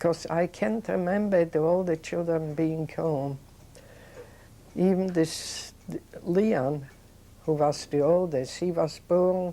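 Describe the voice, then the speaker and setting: Very slow and marked by long, frequent pauses, a woman's fairly low, dark, mellow voice moves with ordinary pitch variation. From Poland. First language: Yiddish. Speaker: Holocaust survivor. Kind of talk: oral history interview. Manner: halting.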